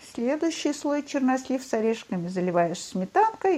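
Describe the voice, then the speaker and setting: A woman's high voice leaps through very wide pitch swings amid noticeable background noise. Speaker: host's mother. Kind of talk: casual chat. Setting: remote recording.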